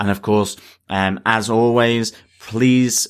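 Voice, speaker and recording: Over a very clean recording with a silent background, a man with an ordinary speaking voice talks at a fairly slow pace with fairly even intonation. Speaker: podcast co-host. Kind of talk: casual chat.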